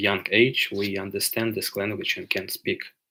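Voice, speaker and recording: A man with a Ukrainian accent speaks at a moderate pace and fairly low pitch. His tone is bright and sharp, his intonation monotone and flat. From Ukraine. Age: 20s. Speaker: livestreamer. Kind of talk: live Q&A stream. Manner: halting with many filler sounds.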